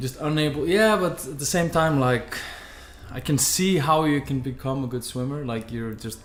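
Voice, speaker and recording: Audible room echo and noticeable background noise surround a man whose fairly high pitch moves with ordinary variation. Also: moderate pace. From Iceland. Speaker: podcast host. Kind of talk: casual chat.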